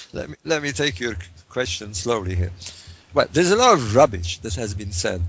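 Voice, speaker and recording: A man talks at a fairly quick pace. His voice is fairly low-pitched and somewhat breathy. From Egypt. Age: 60s. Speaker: author and researcher. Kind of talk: interview. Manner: halting.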